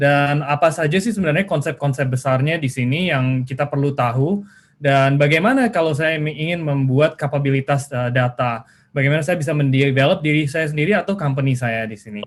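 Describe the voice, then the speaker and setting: The speaker moves at a fairly quick pace with hardly any pauses, sounding somewhat breathy and using ordinary pitch variation. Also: man, fairly high pitch for a man. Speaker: webinar speaker, data school director. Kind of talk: webinar presentation. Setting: video call. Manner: halting, many fillers; mixes Indonesian and English.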